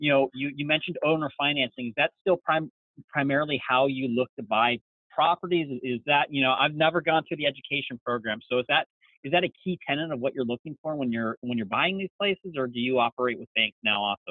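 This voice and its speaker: A man with a plain, everyday voice, fairly high-pitched and fairly quick, ordinary pitch variation, dry sound with no echo and a quiet background. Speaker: camping website founder and interviewer. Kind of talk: interview. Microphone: video call.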